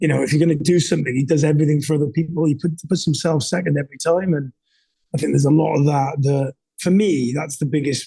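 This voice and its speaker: A man talks at a very fast pace in a fairly high pitch, with a dark, mellow, somewhat breathy tone, fairly even intonation and very even loudness. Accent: Welsh. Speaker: entrepreneur and leadership coach. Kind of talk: candid interview conversation. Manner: halting, many fillers and repeats.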